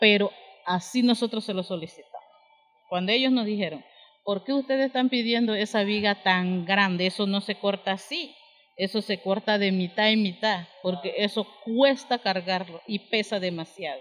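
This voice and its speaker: A woman speaks at a moderate pace in a medium pitch with ordinary pitch variation, over noticeable background noise. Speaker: community leader, lodge co-founder. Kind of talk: interview.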